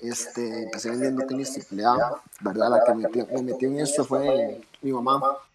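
Over noticeable background noise, a man talks at a medium pitch and a moderate pace with fairly even intonation. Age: 20s. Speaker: sneaker store owner. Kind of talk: casual interview.

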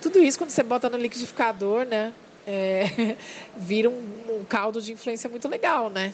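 Noticeable background noise behind a woman's fairly high voice, with ordinary pitch variation at a moderate pace. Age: 30s. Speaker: comic bookstore owner. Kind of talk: casual interview.

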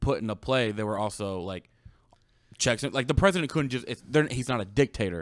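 The recording is very clean, with a silent background. A man speaks in a normal speaking voice at a medium pitch. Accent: American. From United States. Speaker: producer doing fact checks. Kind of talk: casual chat.

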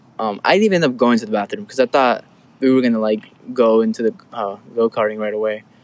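Here a man speaks at a very fast pace. His pitch variation is ordinary. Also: medium pitch for a man. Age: young. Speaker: college student, podcaster. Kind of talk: casual chat.

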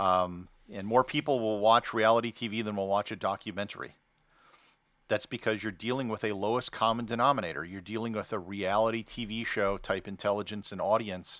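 With an American accent, a man uses an ordinary speaking voice at a fairly low pitch, with fairly even intonation and a fairly quick pace, on a very clean recording with a silent background. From United States. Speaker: travel blogger turned podcaster. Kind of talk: interview conversation.

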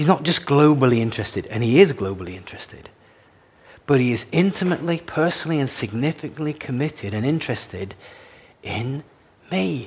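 Lively intonation runs through this somewhat breathy voice. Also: man, fairly high pitch for a man. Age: 60s. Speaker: pastor. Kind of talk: sermon.

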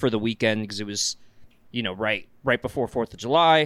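A man with an American accent talks at a fairly quick pace in a normal speaking voice with ordinary pitch variation, captured on a very clean recording with a silent background and a dry, close sound with no echo. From US South. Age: 20s. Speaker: podcast co-host, foam blaster hobbyist. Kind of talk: casual chat.

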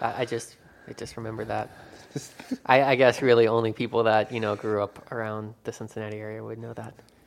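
Loudness swings widely as a man talks at a fairly quick pace. His medium pitch stays monotone and flat. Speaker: podcast co-host. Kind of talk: casual chat. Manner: joking, sarcastic.

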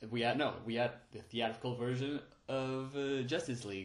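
A man's medium-pitched voice, fairly even in intonation, at a fairly slow pace. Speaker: podcast host, movie reviewer. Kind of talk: unscripted solo film review. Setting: home recording on phone and voice recorder. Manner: halting, with frequent fillers and restarts.

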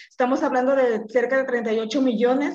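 This woman has a Mexican accent. Her voice is pitched high. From Mexico, Colima. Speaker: party official. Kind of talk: podcast panel discussion.

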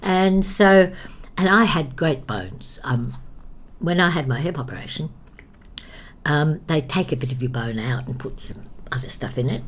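Somewhat breathy and lively in intonation, a woman talks at a moderate pace. There is audible room echo. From England, raised in Australia from childhood. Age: 80s. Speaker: actress and dance teacher. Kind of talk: casual interview. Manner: animated, frequent laughter.

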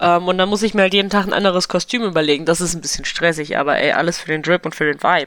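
Noticeable background noise sits behind a woman with a fairly low pitch. She talks at a very fast pace with fairly even intonation. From eastern Germany. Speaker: podcast guest. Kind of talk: casual chat.

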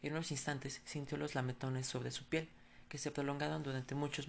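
Delivery is fairly quick, with monotone, flat intonation. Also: woman. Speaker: podcast storyteller. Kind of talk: horror story narration, read aloud.

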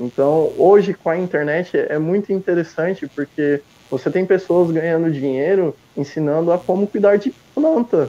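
In a dry, close sound with no echo, a man speaks at a moderate pace in a high voice with ordinary pitch variation. Noticeable background noise sits behind him. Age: 20s. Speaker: book reviewer and purchasing worker. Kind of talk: interview. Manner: halting with repetitions.

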